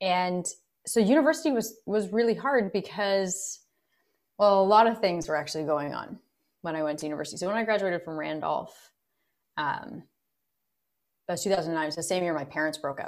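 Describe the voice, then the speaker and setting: On a very clean recording with a silent background, a woman of medium pitch talks at a fairly quick pace with lively intonation and long, frequent pauses. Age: 30s. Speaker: actor and singer. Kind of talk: interview.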